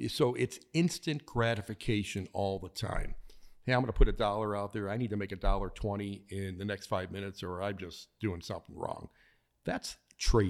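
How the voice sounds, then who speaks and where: In a very clean recording with a silent background, a man with an American accent speaks at a moderate pace and a fairly low pitch, with ordinary pitch variation and big swings in loudness. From Chicago, US Midwest. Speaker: author and former trader. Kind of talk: interview. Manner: halting, many fillers and repeats.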